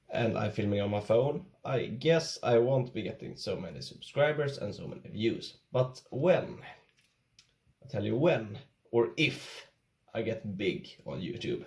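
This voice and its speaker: Speaking at a fairly slow pace with a Swedish accent, a man uses a medium pitch, vocal fry, lively intonation and big swings in loudness. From Sweden. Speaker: YouTuber, angler. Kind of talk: casual tutorial vlog.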